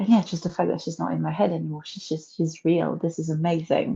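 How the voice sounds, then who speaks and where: A woman speaks with a French accent at a fairly low pitch. Her tone is dark and mellow. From France. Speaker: novelist and historian. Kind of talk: interview. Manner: halting, with repetitions.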